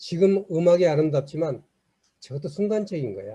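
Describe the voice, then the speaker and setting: Against a quiet background, a man with a fairly high pitch speaks in a dark, mellow tone. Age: 70s. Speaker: lecturer. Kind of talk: lecture.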